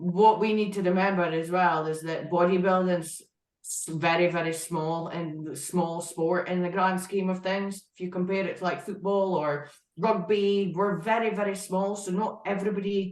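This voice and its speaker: In a strong northeast Scottish accent, a woman with a medium-pitched voice speaks with fairly even intonation while audible room echo surrounds her. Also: moderate pace. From Scotland, northeast (Aberdeen area). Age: 20s. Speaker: IFBB pro bodybuilder. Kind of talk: podcast interview.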